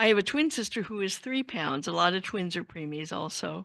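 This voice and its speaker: A woman speaks at a fairly quick pace in a bright, sharp tone at medium pitch, over a quiet background. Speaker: workshop speaker, blind social worker. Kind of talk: talk at a workshop.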